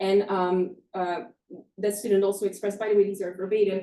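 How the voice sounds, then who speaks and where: In a Flemish accent, a woman talks at a fairly quick pace and medium pitch with a dark, mellow tone. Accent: Flemish Dutch accent in English. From northern Belgium (Flanders). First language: Dutch. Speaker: professor. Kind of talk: lecture. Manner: halting, many fillers.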